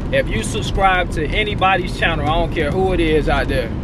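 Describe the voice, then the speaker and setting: Amid loud background noise, a man's voice comes through dry, without echo. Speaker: truck driver vlogger. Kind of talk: casual vlog chat. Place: car. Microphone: phone near.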